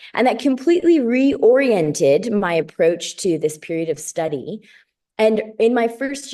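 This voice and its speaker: A woman talks at a moderate pace with an American accent. Her tone is dark and mellow, and the background is quiet. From US Midwest, Chicago area. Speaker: doctoral student in biblical studies. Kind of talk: interview.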